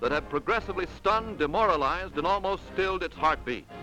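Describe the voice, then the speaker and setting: Music plays in the background as a man with a high pitch speaks at a fairly quick pace. His voice is raised and projected, with ordinary pitch variation. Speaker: newsreel commentator. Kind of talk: newsreel narration. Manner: dramatic, emphatic.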